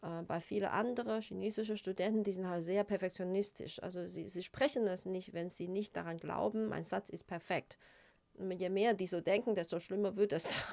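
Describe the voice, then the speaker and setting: A woman speaks at a medium pitch. Her pace is moderate and her intonation fairly even. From China. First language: Chinese (speaking German). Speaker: psychotherapist. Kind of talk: interview. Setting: studio. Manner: hesitant, with many fillers.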